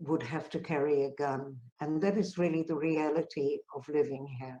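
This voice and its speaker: Her tone dark and mellow, a woman speaks at a moderate pace with a very deep, low pitch. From South Africa. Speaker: peace activist. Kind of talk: conference talk.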